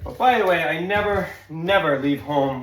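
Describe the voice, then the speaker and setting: An American accent with ordinary pitch variation comes through audible room echo and noticeable background noise. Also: man. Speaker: handyman video tutorial host. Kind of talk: tutorial. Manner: casual, chatty; loud.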